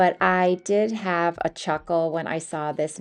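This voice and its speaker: A woman with a normal speaking voice, a fairly low pitch and fairly even intonation. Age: 50s. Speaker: lifestyle vlogger. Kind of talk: vlog voiceover narration.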